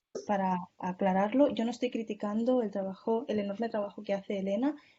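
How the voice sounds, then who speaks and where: A somewhat breathy woman at a fairly quick pace, her intonation fairly even. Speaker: speaker in an online journalism course. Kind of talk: Q&A discussion in an online course. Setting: video call. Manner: fast.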